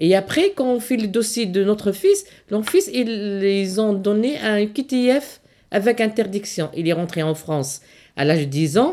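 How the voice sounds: Her tone is dark and mellow, at a medium pitch for a woman. She talks at a moderate pace with lively intonation.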